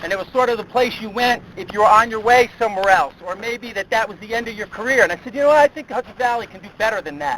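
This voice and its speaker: Over noticeable background noise, a man with a US Northeastern accent speaks at a very fast pace and high pitch, with ordinary pitch variation and big swings in loudness. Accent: US Northeast. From upstate New York (East Greenbush). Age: 50s. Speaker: motivational speaker, sports consultant. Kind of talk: motivational speech.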